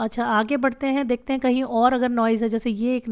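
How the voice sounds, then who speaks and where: At a fairly high pitch, a woman talks at a moderate pace with fairly even intonation on a very clean recording with a silent background. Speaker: radio jockey. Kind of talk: live tutorial talk to viewers. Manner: casual, hesitant.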